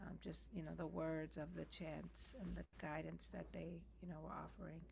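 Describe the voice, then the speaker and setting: A woman speaks softly. Room echo is audible around her voice. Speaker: practice participant. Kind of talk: casual chat. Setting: video call. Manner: soft-spoken.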